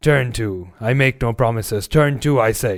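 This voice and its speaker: The speaker uses a put-on character voice on a very clean recording with a silent background. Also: man. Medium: read story. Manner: curt, commanding.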